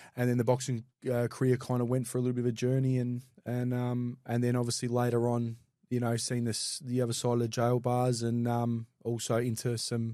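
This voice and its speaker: A man with an Australian accent, medium in pitch, flat and monotone in intonation, with very even loudness. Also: fairly quick pace. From Australia, northern suburbs of Melbourne. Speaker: former gang member turned community advocate. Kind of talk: podcast interview. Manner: halting, many fillers.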